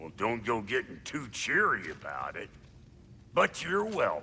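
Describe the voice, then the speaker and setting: A man in a put-on character voice, with clear background noise. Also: medium pitch for a man, moderate pace. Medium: short film. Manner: brusque, sarcastic.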